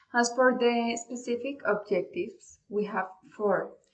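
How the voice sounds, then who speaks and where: Her voice somewhat breathy, a woman talks rather slowly. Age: 20s. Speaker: language student. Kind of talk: class presentation. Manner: formal, partly read.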